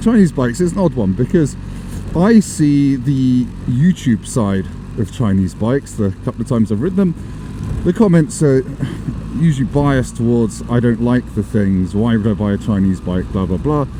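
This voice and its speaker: A man at a medium pitch with lively intonation and a moderate pace, noticeable background noise behind him. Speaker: motorcycle vlogger. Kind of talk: casual vlog chat. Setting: riding a motorbike in the rain. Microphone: new action camera audio setup, may be poor.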